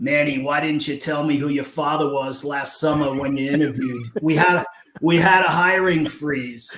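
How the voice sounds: This put-on character voice is raspy. It moves at a moderate pace with fairly even intonation. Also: man, fairly high pitch for a man.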